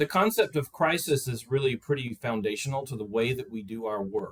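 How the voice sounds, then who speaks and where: The voice is somewhat breathy, with lively intonation. It moves at a moderate pace. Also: man. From US South. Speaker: crisis service representative. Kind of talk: panel discussion. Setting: video call.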